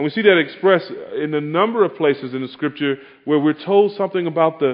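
The pace is moderate. This man's pitch moves up and down over a very wide range. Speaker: pastor. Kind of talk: sermon. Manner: soft-spoken.

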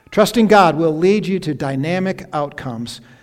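A man with an American accent speaks at a fairly slow pace in a fairly high pitch, his intonation lively, over noticeable background noise. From upstate New York. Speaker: retired pastor. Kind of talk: sermon. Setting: church. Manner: halting.

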